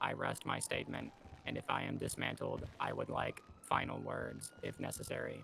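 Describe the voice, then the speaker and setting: A man puts on a character voice at a moderate pace. Background noise is clearly audible. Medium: game stream. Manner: formal, stiff, slightly robotic phrasing.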